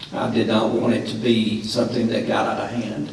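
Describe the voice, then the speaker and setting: A man with a Tennessee accent at a moderate pace, amid noticeable background noise and audible room echo. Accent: Southern US (Tennessee). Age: 50s. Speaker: radio host and forum moderator. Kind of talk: closing remarks at a political forum. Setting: high school auditorium with audience, broadcast live.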